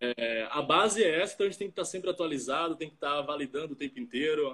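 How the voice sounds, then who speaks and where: A man with a fairly high pitch talks at a very fast pace, his intonation lively. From Brazil, Salvador (Bahia). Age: 20s. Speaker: startup founder and software developer. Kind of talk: casual interview on a livestream.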